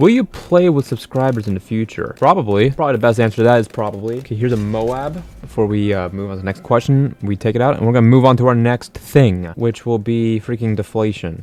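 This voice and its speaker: A man talks at a very fast pace with hardly any pauses. His pitch is medium. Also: ordinary pitch variation. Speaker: gaming YouTuber. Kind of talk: casual gameplay commentary and Q&A. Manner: animated.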